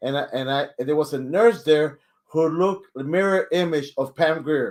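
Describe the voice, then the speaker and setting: A man speaks at a moderate pace in a fairly high pitch, with ordinary pitch variation. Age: 60s. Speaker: co-host and storyteller. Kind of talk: casual storytelling in a live stream. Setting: live stream. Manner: halting, repeats words.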